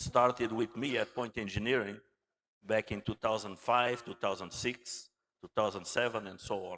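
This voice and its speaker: With a Portuguese accent, a man speaks at a medium pitch and moderate pace with fairly even intonation. The sound is dry and close, with no echo. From Angola. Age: 60s. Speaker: naval architect and engineer. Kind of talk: conference talk.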